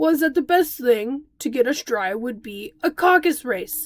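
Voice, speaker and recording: At a moderate pace, a woman uses a put-on character voice pitched high. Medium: read story. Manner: solemn, formal.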